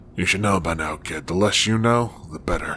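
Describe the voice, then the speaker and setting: Putting on a character voice, a man talks at a moderate pace in a very deep, low, raspy voice with a weary tone, over clear background noise. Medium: audio drama. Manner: gruff, world-weary.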